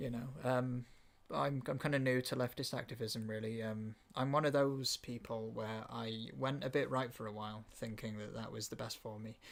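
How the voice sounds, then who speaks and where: Speaking with a Welsh accent, a man uses a medium pitch and fairly even intonation. His pace is moderate. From Wales. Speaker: podcast host. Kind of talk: casual chat.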